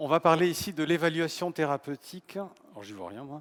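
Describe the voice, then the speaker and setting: At a moderate pace, a man with a fairly high pitch speaks on a very clean recording with a silent background. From south-west France. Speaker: professor of medical informatics and biostatistics. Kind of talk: humorous conference talk. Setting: conference stage with audience.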